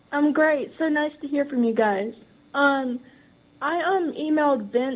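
At a fairly slow pace, a woman speaks in an American accent with a high pitch and ordinary pitch variation. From US South. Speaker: caller. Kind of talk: call-in question. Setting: phone call.

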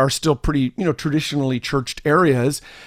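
A normal speaking voice: a man, fairly high-pitched, talking at a fairly quick pace, dry and close with no echo, on a very clean recording with a silent background. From Canada. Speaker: church growth consultant and podcaster. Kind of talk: casual interview chat.

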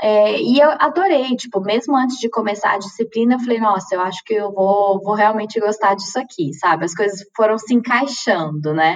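At a moderate pace and with hardly any pauses, a woman speaks in an ordinary speaking voice, fairly high-pitched with lively intonation. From Minas Gerais, Brazil (Uberlândia). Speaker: chemical engineer working in automation. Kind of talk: casual interview.

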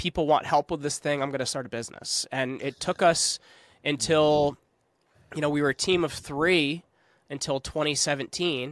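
A man with an unremarkable speaking voice, fairly high in pitch, at a moderate pace with fairly even intonation, in a dry, close sound with no echo on a very clean recording with a silent background. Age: 30s. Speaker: podcast agency founder. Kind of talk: casual chat.

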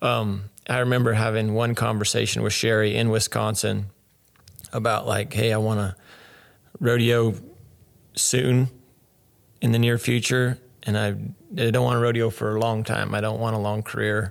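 A man with an American accent speaks at a moderate pace in a fairly low, monotone voice with flat intonation. His speech has long, frequent pauses. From Arizona. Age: 30s. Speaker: rodeo cowboy. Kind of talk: casual interview.

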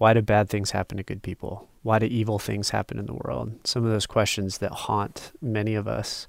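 With an unremarkable speaking voice, a man talks at a moderate pace and a fairly low pitch, with ordinary pitch variation and hardly any pauses, on a very clean recording with a silent background. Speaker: Bible study participant. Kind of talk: small group Bible study conversation.

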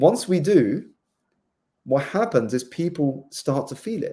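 Lively intonation carries a dark, mellow tone in a southern English accent, on a very clean recording with a silent background. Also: man. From southeast England. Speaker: life coach and author. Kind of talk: interview.

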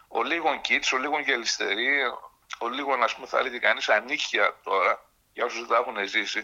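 An unremarkable speaking voice, at a moderate pace. The pitch varies in an ordinary way. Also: man. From Thessaloniki, northern Greece. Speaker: writer. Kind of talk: interview.

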